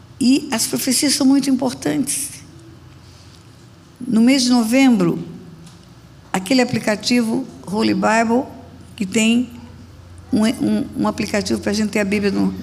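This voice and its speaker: Amid noticeable background noise and audible room echo, a woman speaks at a fairly slow pace in a fairly high pitch, with long, frequent pauses. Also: ordinary pitch variation. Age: 70s. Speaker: pastor. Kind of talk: sermon.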